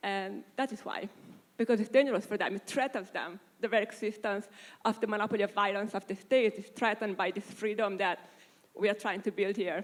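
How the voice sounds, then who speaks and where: A woman's medium-pitched voice in an Italian accent, fairly quick in pace and fairly even in intonation. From Italy. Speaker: panelist on privacy. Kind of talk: panel discussion.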